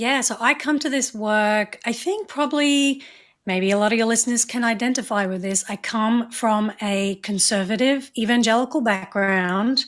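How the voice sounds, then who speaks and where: A woman with an Australian accent at a fairly high pitch, moderate pace and ordinary pitch variation, in a very clean recording with a silent background. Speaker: reproductive rights advocate and media producer. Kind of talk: interview conversation.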